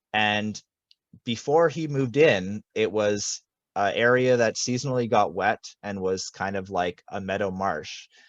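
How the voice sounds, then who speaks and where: Using a normal speaking voice, a man talks at a fairly slow pace in a fairly low pitch with ordinary pitch variation, the sound dry and close with no echo and a quiet background. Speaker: land stewardship coordinator. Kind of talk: webinar presentation.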